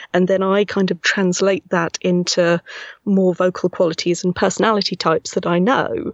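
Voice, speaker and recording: The speaker has a Buckinghamshire accent and talks at a moderate pace. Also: woman. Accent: English, Milton Keynes. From Milton Keynes, England. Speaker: voice actress and casting director. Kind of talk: casual interview chat.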